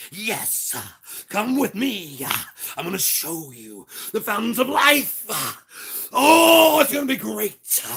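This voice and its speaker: Someone uses a put-on character voice at a fairly slow pace, with long, frequent pauses. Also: man, high pitch for a man. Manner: cheery, preacher-like.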